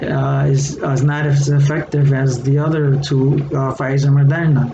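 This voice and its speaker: A man with a Puerto Rican accent speaks in a fairly high pitch, his intonation monotone and flat. Audible room echo and noticeable background noise fill the recording. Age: 60s. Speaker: retired educator and online seller. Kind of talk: casual vlog monologue. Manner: hesitant, many fillers.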